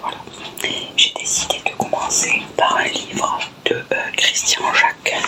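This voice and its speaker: A woman is whispering at a fairly slow pace. Noticeable background noise is present. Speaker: ASMR creator. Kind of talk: casual talk to camera. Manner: whispered.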